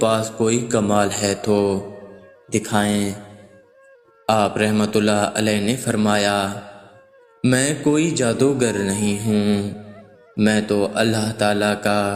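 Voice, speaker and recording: The loudness stays very even throughout. Music plays in the background. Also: man. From Pakistan. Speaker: voice over artist. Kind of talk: religious story narration.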